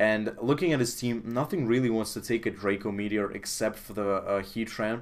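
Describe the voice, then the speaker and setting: Fairly low-pitched, a man speaks at a moderate pace. His intonation stays fairly even. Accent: Russian. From Russia. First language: Russian. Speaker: video game commentator. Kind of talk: game commentary. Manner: hesitant, many fillers.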